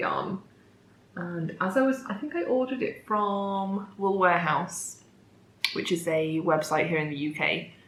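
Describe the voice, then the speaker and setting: Heard with audible room echo, a woman speaks fairly slowly at a fairly low pitch. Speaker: knitting podcaster. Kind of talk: casual chat.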